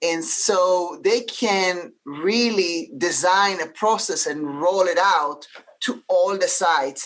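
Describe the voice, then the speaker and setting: A woman with an Israeli accent, medium pitch, ordinary pitch variation and a very slow pace. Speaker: healthcare leader. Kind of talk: panel discussion. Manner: halting, many fillers.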